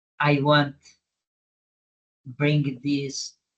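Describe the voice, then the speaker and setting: The man has a fairly high pitch and a non-native accent. His voice is somewhat breathy. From Brazil, Minas Gerais. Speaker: humanitarian adventurer. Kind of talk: interview. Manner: halting.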